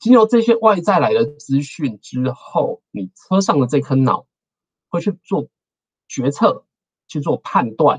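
Against a quiet background, a man with vocal fry speaks at a fairly slow pace, his pitch swinging very widely. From Taiwan. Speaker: engineer and researcher giving a guest lecture; guest lecturer. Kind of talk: lecture. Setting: online talk. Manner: frequent fillers and hesitations. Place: home room. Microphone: webcam.

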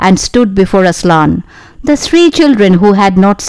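The reading voice sounds unforced. Lively intonation runs through it.

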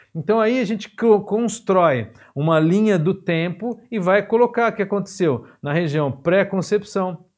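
A man at a fairly slow pace, with lively intonation, against a quiet background. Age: 50s. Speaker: physiotherapy teacher. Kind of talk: lecture. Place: studio.

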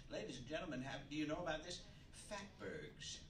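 Over light background noise and audible room echo, a man speaks at a moderate pace. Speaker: comedian host. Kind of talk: stand-up comedy monologue. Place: stage.

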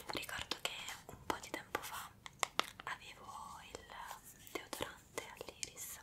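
A soft-spoken woman whispers at a fairly slow pace. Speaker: ASMR creator. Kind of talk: soft-spoken ASMR chat. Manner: soft close-mic whisper. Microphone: handheld.

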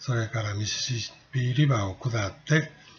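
At a moderate pace, a man with a medium pitch sounds somewhat breathy, with ordinary pitch variation. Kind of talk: travel guide narration.

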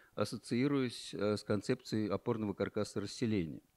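In a quiet setting, a man speaks with ordinary pitch variation. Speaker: speaker. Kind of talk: panel discussion; conference talk, recollection. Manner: halting. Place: hall. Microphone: handheld.

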